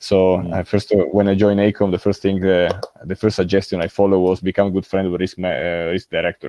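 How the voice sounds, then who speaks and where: With an Italian accent, a man speaks at a very fast pace, his very deep, low voice monotone and flat. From Italy. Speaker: civil engineering director. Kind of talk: interview. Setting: recording from home. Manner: hesitant, many fillers.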